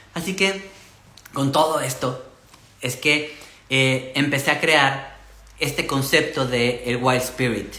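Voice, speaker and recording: The speech is very slow, with long, frequent pauses and fairly even intonation. Noticeable background noise and audible room echo are present. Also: man. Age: 40s. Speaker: podcast host and human design coach. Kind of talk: live stream monologue. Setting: live stream with viewer comments. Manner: hesitant, many repetitions and fillers.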